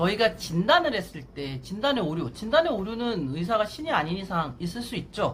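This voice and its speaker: The speech goes at a moderate pace, with noticeable background noise. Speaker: Korean medicine doctor. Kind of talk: talking-head explainer video. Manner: loud.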